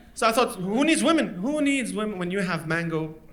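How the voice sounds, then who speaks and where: A man's raised, projected voice, high in pitch, with very wide pitch swings and a fairly quick pace, over noticeable background noise. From Lebanon. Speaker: stand-up comedian. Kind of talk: stand-up comedy performance. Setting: live comedy venue.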